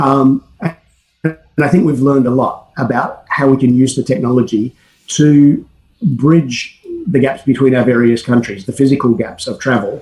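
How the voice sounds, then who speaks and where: At a moderate pace, the somewhat breathy voice shows ordinary pitch variation. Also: man, medium pitch for a man. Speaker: academic researcher. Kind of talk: conference presentation.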